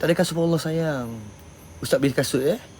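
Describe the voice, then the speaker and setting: A man speaks loudly over noticeable background noise. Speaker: paranormal live streamer. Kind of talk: casual live stream chat. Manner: blunt, rough-spoken.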